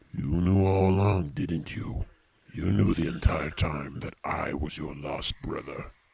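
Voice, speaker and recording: A man puts on a character voice with a very deep, low pitch. He talks at a fairly slow pace with lively intonation. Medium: audio drama. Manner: measured, formal, controlled.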